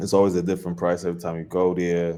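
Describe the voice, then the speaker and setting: With an American accent, a man speaks at a very deep, low pitch and keeps his intonation fairly even. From US East Coast. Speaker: reaction commentator. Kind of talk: casual reaction commentary.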